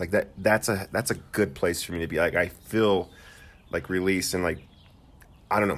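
With vocal fry and ordinary pitch variation, a man speaks at a very deep, low pitch. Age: 30s. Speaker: podcast co-host, teacher. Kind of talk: casual chat.

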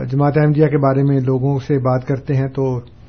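A man speaks in a somewhat breathy voice. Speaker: religious scholar answering listener questions. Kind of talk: call-in religious discussion. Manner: calm, never bitter in tone.

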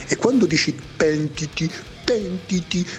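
Using a put-on character voice, a man speaks fairly slowly and high in pitch against clear background noise. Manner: mocking, whiny.

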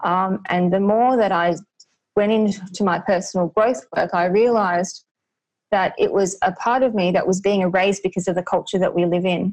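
At a moderate pace, a woman with an Australian accent keeps her intonation fairly even and her loudness very even. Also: medium pitch for a woman. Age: 40s. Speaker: anti-racism coach. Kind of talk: interview.

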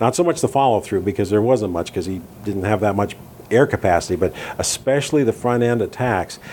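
With an American accent, a man talks very fast at a fairly low pitch, his pitch variation ordinary. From US, Southern California (Downey). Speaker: orchestral tuba player. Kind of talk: interview. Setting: in person, Midtown Manhattan.

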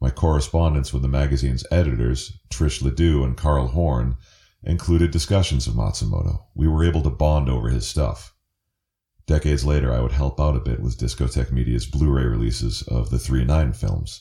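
A man speaks with a very deep, low pitch and ordinary pitch variation. His voice is somewhat breathy, at a moderate pace. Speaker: anime writer. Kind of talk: recorded essay reading.

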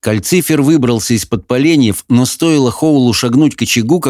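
The voice reads plainly aloud with ordinary pitch variation.

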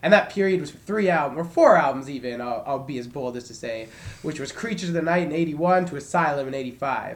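Fairly quick, fairly high male speech with ordinary pitch variation, big swings in loudness and audible room echo. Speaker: podcast co-host and warehouse worker. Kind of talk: casual chat.

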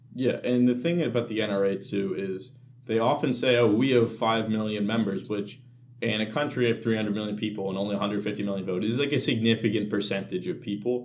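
A fairly low male voice at a fairly quick pace, with ordinary pitch variation and audible room echo. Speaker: student podcast co-host. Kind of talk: casual chat.

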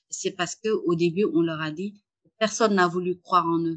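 Here a woman talks at a fairly slow pace. Her pitch sits in the medium range. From Senegal (Saint-Louis). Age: 30s. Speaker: entrepreneur, fashion brand founder. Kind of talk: interview. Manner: halting, many repetitions and fillers. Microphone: poor remote audio quality.

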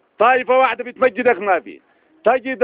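A man talks at a fast pace with an extremely high pitch and ordinary pitch variation. The sound is dry and close, with no echo.

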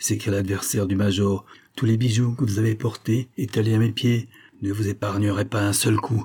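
With fairly even intonation, the voice reads in a natural way.

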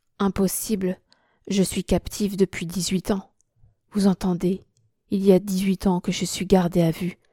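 The text is read aloud in a natural voice while the background stays quiet.

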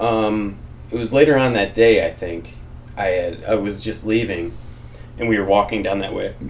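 A man with a fairly low pitch speaks at a moderate pace, his intonation fairly even. There is audible room echo, and he takes long, frequent pauses. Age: 30s. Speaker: podcast co-host. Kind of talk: casual chat.

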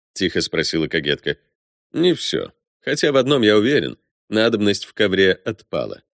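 With lively intonation, a passage is read aloud in a natural voice over a quiet background.

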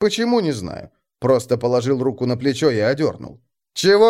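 The background is quiet as a person reads aloud in a natural voice.

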